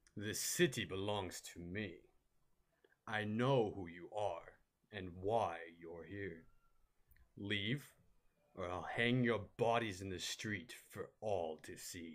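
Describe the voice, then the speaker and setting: A man performs a cartoonish character voice, pitched fairly low, at a fairly slow pace. Long pauses come often. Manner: menacing, threatening.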